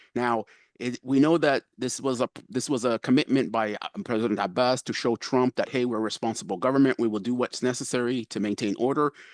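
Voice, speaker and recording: Against a quiet background, a man talks at a very fast pace with ordinary pitch variation. The sound is dry and close with no echo. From Palestine, Jerusalem area. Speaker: participant in peace simulation. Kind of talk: panel discussion.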